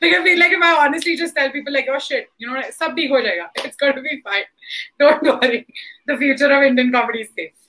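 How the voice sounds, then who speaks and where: A raised, projected voice at a very fast pace, with big swings in loudness and ordinary pitch variation. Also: woman, high pitch for a woman. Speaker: stand-up comedian. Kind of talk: casual panel discussion. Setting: online video session. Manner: animated.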